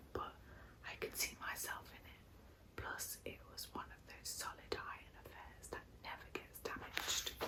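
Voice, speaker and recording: A woman whispers at a moderate pace with big swings in loudness over noticeable background noise. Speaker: ASMR creator. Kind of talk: ASMR bedtime story reading.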